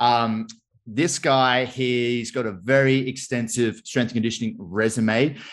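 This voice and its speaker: Man with a plain, everyday voice, medium pitch and fairly slow pace against a quiet background. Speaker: podcast host. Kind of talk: casual interview.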